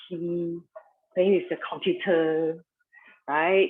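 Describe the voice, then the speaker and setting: A soft-spoken woman, fairly low in pitch, at a fairly slow pace. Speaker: yoga instructor. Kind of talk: guided yoga class.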